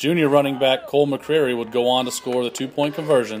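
This is a man with a plain, everyday voice. His pitch is medium. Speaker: sports highlights host. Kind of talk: sports highlight narration, recapping the game play by play. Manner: steady, upbeat, formal broadcast delivery; brisk and clear, reading a prepared script.

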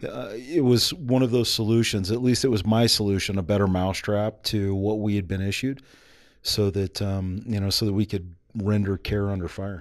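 A man with an American accent talks at a moderate pace. His pitch is fairly low, with ordinary variation. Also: quiet background. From United States. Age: 40s. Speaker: army special forces veteran and entrepreneur. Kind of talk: casual interview. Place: studio. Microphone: studio mic.

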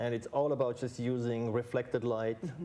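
Very fast and fairly even in intonation, a man talks in a dark, mellow tone. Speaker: guest. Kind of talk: interview answer. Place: studio. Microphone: lapel.

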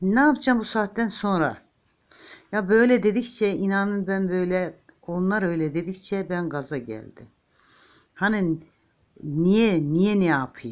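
Her warm tone sits at a medium pitch, with lively intonation. The woman speaks at a very slow pace against a quiet background. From eastern Turkey, Ağrı. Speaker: home crafter, knitting tutorial maker. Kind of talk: tutorial with chatty asides. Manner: chatty, warm, informal.

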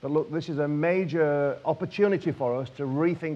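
A man talks with a northern English accent. His intonation stays fairly even. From northern England. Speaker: politician. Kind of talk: panel speech. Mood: earnest, persuasive. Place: hall. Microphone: lapel.

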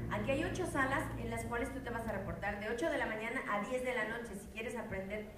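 There is audible room echo and clear music in the background as a woman speaks. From Mexico. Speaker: voice actor. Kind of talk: conference talk to fans. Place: hall. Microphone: pa.

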